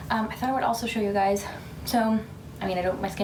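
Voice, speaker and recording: A woman's medium-pitched voice, with ordinary pitch variation, is heard amid audible room echo and noticeable background noise. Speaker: beauty vlogger and stay-at-home mom. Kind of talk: casual get-ready-with-me vlog. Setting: at home, baby asleep in next room. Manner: whispering.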